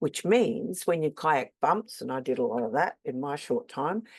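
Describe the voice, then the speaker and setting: In an Australian accent, a woman speaks at a fairly slow pace with very wide pitch swings against a quiet background. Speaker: game reviewer. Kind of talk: scripted narration.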